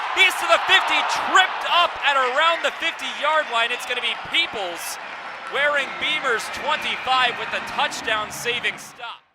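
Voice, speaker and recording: Delivered at a moderate pace with ordinary pitch variation, the speech has noticeable background noise. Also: man, extremely high pitch for a man. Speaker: sports broadcaster, play-by-play announcer. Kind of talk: live radio football play-by-play.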